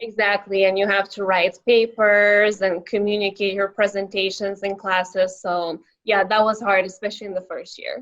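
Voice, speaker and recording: Monotone, flat intonation in a Lithuanian accent, at a moderate pace with hardly any pauses. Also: woman, medium pitch for a woman. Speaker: young professional. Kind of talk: interview. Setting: podcast.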